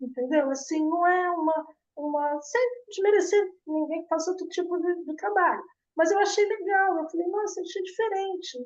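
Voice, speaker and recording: Extremely high in pitch, a woman speaks with ordinary pitch variation. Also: moderate pace. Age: 60s. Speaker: course graduate interviewed about hair care. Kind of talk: casual interview testimony.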